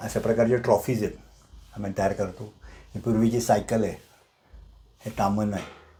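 With a dark, mellow tone, a man speaks in a fairly low, somewhat breathy voice. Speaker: retired manager and private museum owner. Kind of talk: guided museum tour. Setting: small home museum room.

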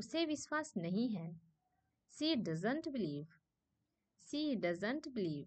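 A woman's fairly high voice with very wide pitch swings and long, frequent pauses. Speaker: English teacher. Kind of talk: language lesson, reading sentence pairs aloud. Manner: slow, repetitive dictation.

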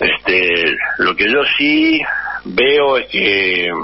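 A man with a Rioplatense accent, over noticeable background noise. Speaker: former footballer. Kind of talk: radio interview.

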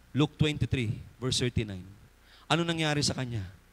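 Projected and raised, the voice has a bright, sharp tone, lively intonation and a moderate pace. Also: man. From Philippines. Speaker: preacher. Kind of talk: sermon. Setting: church. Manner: fervent, emphatic, pulpit-style exhortation; polite, warm, with congregation call-and-response. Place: church. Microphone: handheld.

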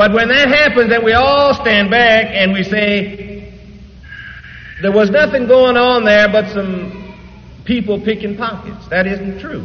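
A man with an American accent speaks at a high pitch for a man. His pace is fairly slow and his intonation fairly even. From Detroit. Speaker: preacher. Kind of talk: church sermon. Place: church. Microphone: old recording.

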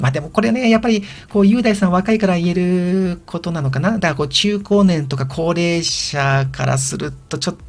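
This man's voice sits high and shows ordinary pitch variation. He talks at a fairly quick pace with hardly any pauses. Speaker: video blogger. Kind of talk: casual monologue. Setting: old house, recorded solo. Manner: hesitant with many fillers.

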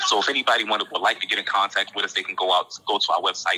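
Speaking at a very fast pace in an American accent, a man is heard over noticeable background noise. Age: 30s. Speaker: formerly incarcerated nonprofit co-founder. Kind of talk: interview testimony.

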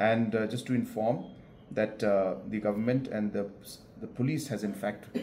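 A man with a plain, everyday voice speaks at a fairly quick pace and a fairly low pitch, with ordinary pitch variation and light background noise. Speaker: official answering reporters. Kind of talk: interview answer. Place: office. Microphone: camera far.

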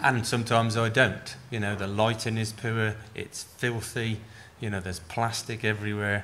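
Bright, sharp tone from a man in monotone, flat intonation at a moderate pace, with light background noise. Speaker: farm advisor and panel chair; panel chair. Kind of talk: chairing a panel. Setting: stage with audience. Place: hall. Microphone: podium.

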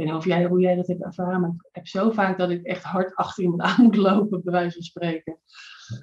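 In a plain, everyday voice, a woman talks at a fairly quick pace and medium pitch, with fairly even intonation, hardly any pauses and big swings in loudness. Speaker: triathlete and coach; coach. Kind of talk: casual chat. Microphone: video call.

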